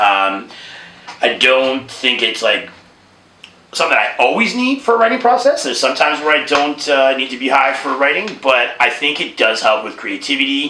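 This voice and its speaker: A man with a Canadian accent and a fairly high pitch speaks at a moderate pace with lively intonation, amid noticeable background noise and audible room echo. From Toronto, Canada. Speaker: rapper. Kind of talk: casual interview.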